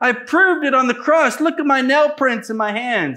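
A man's raised, projected voice, extremely high-pitched and bright and sharp, with ordinary pitch variation at a fairly quick pace against a quiet background. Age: 30s. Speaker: missionary preacher. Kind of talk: sermon. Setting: church. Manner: animated. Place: church.

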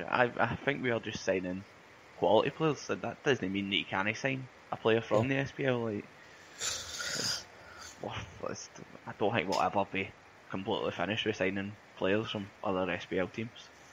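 A man with a Glasgow accent, fairly low in pitch, with ordinary pitch variation, moderate pace, long, frequent pauses and noticeable background noise. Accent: Scottish (Glasgow area). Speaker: football podcast co-host. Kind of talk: casual chat.

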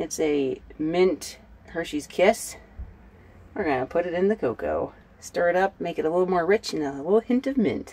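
Her pitch fairly low, a woman talks at a moderate pace. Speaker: van life vlogger. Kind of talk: casual vlog chat. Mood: cheerful, smiling. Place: car.

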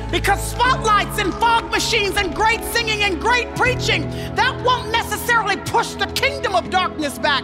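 With clear music in the background, a woman talks at a moderate pace with hardly any pauses. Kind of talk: sermon. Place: stage. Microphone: headset.

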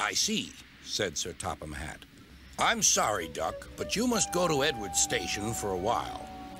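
This recording presents an unforced reading voice.

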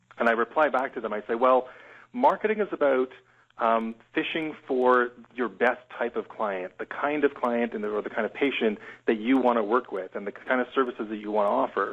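The voice is a plain, everyday voice with ordinary pitch variation. It moves at a fairly quick pace. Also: man, medium pitch for a man. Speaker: graphic and website designer. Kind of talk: webinar interview.

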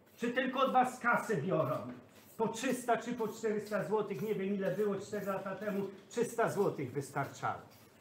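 Speaking at a fairly slow pace, a man uses a high pitch and lively intonation. Audible room echo and light background noise accompany him. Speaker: priest. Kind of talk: heated confrontation. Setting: indoors, filmed on camera. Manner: insistent, repetitive questioning. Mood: angry, scolding. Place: kitchen. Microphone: phone near.

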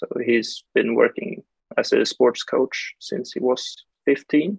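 A man speaks in a Swedish accent against a quiet background. The sound is dry, with no echo. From Sweden, Stockholm. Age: young. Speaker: archer. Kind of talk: interview. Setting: video call. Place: home room. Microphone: video call.

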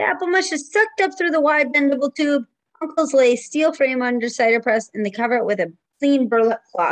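Against a quiet background, a woman talks fairly quickly in a warm, high, sing-song voice with very wide pitch swings. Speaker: preschool teacher. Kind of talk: children's story time, reading a picture book aloud. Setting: home video recording. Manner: warm, sing-song and engaging with young children. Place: home room. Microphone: webcam.

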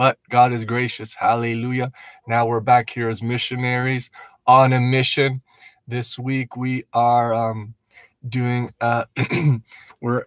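Monotone, flat intonation comes at a fairly slow pace, with a dry sound free of echo and a quiet background. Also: man. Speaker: missionary vlogger. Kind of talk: casual vlog chat. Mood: reflective, grateful. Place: car. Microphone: phone near.

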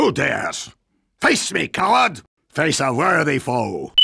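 A man does a put-on character voice, fairly high in pitch, with a slightly husky edge, a bright, sharp tone, vocal fry, very wide pitch swings and a slow pace.

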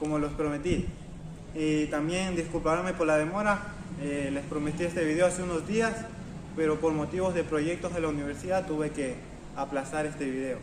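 A man with a high pitch speaks at a moderate pace and fairly even intonation. Noticeable background noise sits under his voice. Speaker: fitness channel host. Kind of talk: motivational vlog talk. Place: garden. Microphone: camera far.

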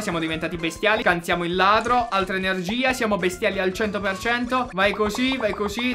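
Over clear music in the background, a man speaks in a raised, projected voice at a fairly quick pace. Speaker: gaming content creator. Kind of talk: excited gameplay commentary. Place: home room.

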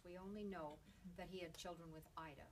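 A woman speaks at a fairly low pitch and a moderate pace. Background noise is noticeable. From Saskatchewan, Canada. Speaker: novelist. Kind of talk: author talk at bookstore. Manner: casual, warm. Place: shop.

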